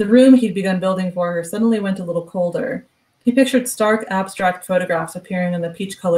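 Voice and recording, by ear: Reading aloud in a natural voice, the speaker shows ordinary pitch variation over a quiet background.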